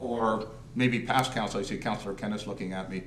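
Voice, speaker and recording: Audible room echo follows a man talking at a fairly quick pace in a medium pitch. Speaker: deputy mayor. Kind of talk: council meeting discussion. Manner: loud.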